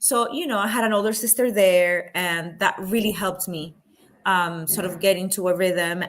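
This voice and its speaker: A woman speaks with a Spanish accent. Her pitch is medium and her intonation fairly even. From Panama. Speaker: film producer and activist. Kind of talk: interview. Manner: halting, many fillers and restarts.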